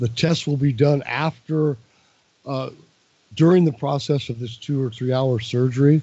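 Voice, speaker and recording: With fairly even intonation, a man speaks in a somewhat breathy voice. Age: 60s. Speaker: caller to a talk radio show. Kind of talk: casual chat. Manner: halting.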